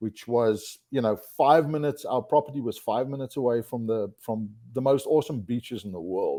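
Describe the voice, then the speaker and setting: A man's medium-pitched voice, dark and mellow in tone, at a fairly quick pace in a South African accent, with ordinary pitch variation. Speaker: outdoor industry executive. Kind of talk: podcast interview. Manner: hesitant, many fillers and repeated words.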